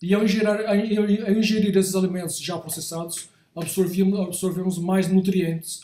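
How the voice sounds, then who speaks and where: This man has a high pitch and a dark, mellow tone, speaking at a moderate pace in a monotone, flat intonation. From Brazil, São Paulo. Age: 60s. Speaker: creative director / design professional. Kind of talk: talk / lecture to an audience. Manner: halting, with frequent repetitions and self-corrections.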